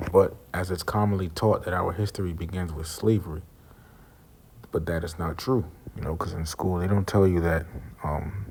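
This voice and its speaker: Soft-spoken and somewhat breathy, a man with a very deep, low pitch talks at a moderate pace with fairly even intonation and long, frequent pauses. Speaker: religious teacher. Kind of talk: religious lesson. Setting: semi-public place. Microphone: too quiet.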